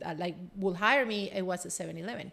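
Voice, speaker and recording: A woman's medium-pitched voice with a Spanish accent on a very clean recording with a silent background. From Colombia. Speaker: business executive and coach. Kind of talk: casual chat.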